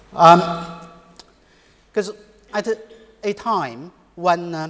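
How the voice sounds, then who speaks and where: Here a man speaks with a Chinese accent. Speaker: economics professor. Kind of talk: conference panel talk. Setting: conference panel. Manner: halting, many fillers.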